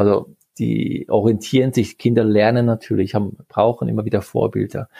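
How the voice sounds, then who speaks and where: Recorded dry and close with no echo, a man speaks at medium pitch and a moderate pace with a dark, mellow tone, vocal fry and fairly even intonation. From Switzerland, Geneva. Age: 40s. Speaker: sports scientist. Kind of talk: interview. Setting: video call.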